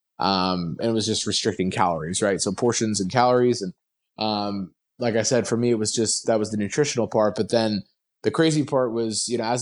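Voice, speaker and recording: Against a quiet background, a man with an unremarkable speaking voice talks at a fairly quick pace in a fairly low pitch, keeping his intonation fairly even. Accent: American. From New Jersey. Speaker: weight loss guest. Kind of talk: casual interview chat.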